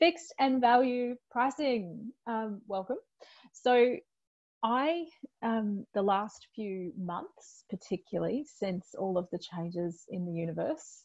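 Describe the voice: A woman speaks at a medium pitch with ordinary pitch variation and a slightly mellow tone.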